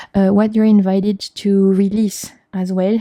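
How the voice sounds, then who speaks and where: In a French accent, a woman speaks with a dark, mellow tone, and the sound is dry and close with no echo. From France. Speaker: tarot reader. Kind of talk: tarot reading to camera. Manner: halting.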